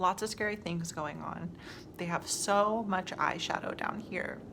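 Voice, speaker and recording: Clear background noise runs through the clip. The woman's delivery is fairly slow. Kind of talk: comedic skit acting as a captive, ASMR style talk to camera. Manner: quiet, close-to-mic, whispery.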